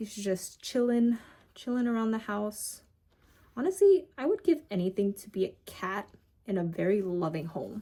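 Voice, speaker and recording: Somewhat breathy and lively in intonation, a woman talks at a moderate pace. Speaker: pet keeper vlogger. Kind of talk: casual vlog chat. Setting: home. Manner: halting, long pauses.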